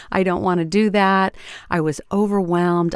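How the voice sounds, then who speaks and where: On a very clean recording with a silent background, a woman speaks fairly slowly in a normal speaking voice, fairly low in pitch, dry and close with no echo. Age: 60s. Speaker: podcast host and voice coach. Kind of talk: solo podcast talk. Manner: conversational.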